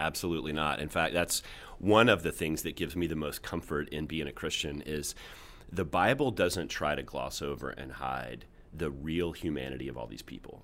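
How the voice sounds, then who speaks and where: The voice carries vocal fry, and its pitch varies in an ordinary way. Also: man, very deep, low pitch for a man, moderate pace. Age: 40s. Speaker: pastor. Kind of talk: casual chat.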